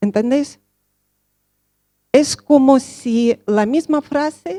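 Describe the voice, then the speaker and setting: A woman speaks with a Russian accent at a very slow pace, her tone dark and mellow and her intonation lively. The sound is dry and close, with no echo. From Russia (Soviet Union). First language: Russian (speaking Spanish). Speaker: social educator, speaker. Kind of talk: conference talk.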